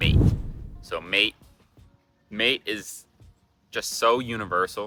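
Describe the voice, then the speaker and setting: A man with a Canadian accent in a relaxed tone, music playing in the background. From Canada. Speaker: travel vlogger. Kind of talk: casual talk to camera. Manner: casual, relaxed.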